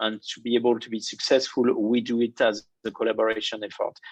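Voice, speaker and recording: With a French accent, a man speaks at medium pitch and a moderate pace. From France. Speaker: banking innovation executive. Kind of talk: interview.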